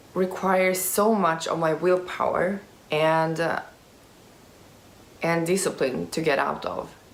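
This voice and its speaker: Amid audible room echo, a woman talks very slowly at a fairly low pitch, her intonation monotone and flat. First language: Swedish. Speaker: youtuber with type 1 diabetes. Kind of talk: Q&A vlog. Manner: halting, many fillers.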